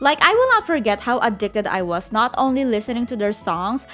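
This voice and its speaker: Music plays in the background. A woman speaks at a fairly high pitch with lively intonation. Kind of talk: casual storytime narration to camera.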